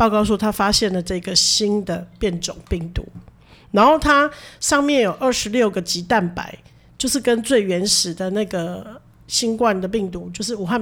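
An ordinary speaking voice at a moderate pace, with ordinary pitch variation, comes through on a very clean recording against a silent background. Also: woman. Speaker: nurse and podcast co-host. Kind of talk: casual chat.

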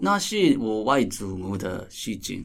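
A man with a Japanese accent at a very slow pace. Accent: Japanese-accented Mandarin. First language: Japanese (speaking Chinese). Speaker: theatre director. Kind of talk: casual interview chat. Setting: recording venue. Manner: halting, many filler sounds.

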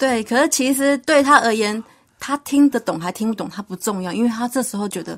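A normal speaking voice from a woman, fairly high in pitch with ordinary variation, at a fairly quick pace on a very clean recording with a silent background. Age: young. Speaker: pet trainer. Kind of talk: radio interview.

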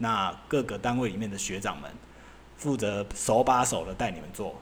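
At a fairly slow pace, a man with an unremarkable speaking voice talks at medium pitch with lively intonation. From Taiwan. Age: 40s. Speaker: podcast host, former semiconductor equipment engineer. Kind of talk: casual solo monologue. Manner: loose, filler-heavy, casual with swearing.

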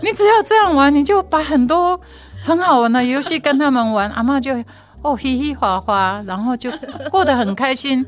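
A woman with a Taiwanese accent, high-pitched, with very wide pitch swings and noticeable background noise. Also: moderate pace. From Taiwan, Hualien. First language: Taiwanese Hokkien (speaking Chinese). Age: 60s. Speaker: community education director. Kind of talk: interview. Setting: studio.

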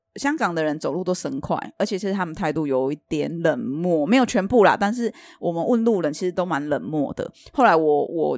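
Using a plain, everyday voice, a woman talks at a fairly quick pace in a fairly low pitch, her intonation lively. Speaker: podcast co-host selling Thai amulets. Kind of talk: casual chat.

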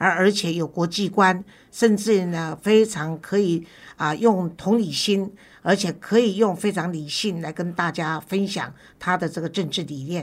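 A woman's medium-pitched voice at a fairly slow pace, fairly even in intonation, on a very clean recording with a silent background. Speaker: talk show host. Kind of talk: interview.

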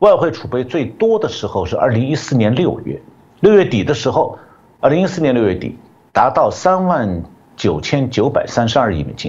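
A man's voice at a moderate pace, with vocal fry and very wide pitch swings. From China. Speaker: economist. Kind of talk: interview analysis.

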